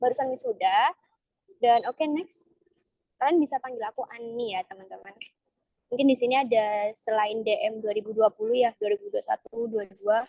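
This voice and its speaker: In an East Javanese accent, a woman speaks at a moderate pace with a fairly high pitch, ordinary pitch variation, and a dark, mellow tone, the sound dry and close with no echo. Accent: Surabaya-Pasuruan accent slipping in. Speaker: alumni speaker at student workshop. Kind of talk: online presentation. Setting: video call. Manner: casual, filler-heavy.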